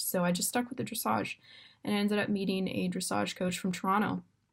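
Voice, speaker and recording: A woman with a Canadian accent speaks at a medium pitch in a somewhat breathy voice. The recording is very clean, with a silent background. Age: 20s. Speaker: university student and para dressage rider. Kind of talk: personal introduction video. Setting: dorm room. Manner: casual, with many fillers.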